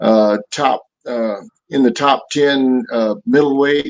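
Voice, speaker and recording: Speaking at medium pitch with ordinary pitch variation, this man has a plain, everyday voice. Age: 60s. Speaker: Army veteran and boxing coach. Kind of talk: casual chat.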